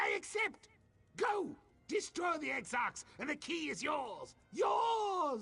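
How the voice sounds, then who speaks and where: A man does a put-on character voice at an extremely high pitch. He talks at a fairly slow pace. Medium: video game. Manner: grandiose, exclamatory.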